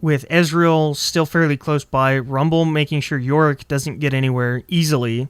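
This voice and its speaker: A man's fairly high-pitched voice with hardly any pauses, in a dry, close sound with no echo. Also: moderate pace. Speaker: esports shoutcaster. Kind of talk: video game color commentary. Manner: energetic, lively.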